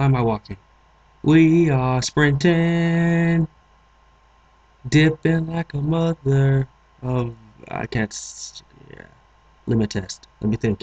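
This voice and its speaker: Over noticeable background noise, a man with a fairly high pitch talks at a very slow pace, with ordinary pitch variation and long, frequent pauses. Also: dry, close sound with no echo. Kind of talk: let's play gaming commentary.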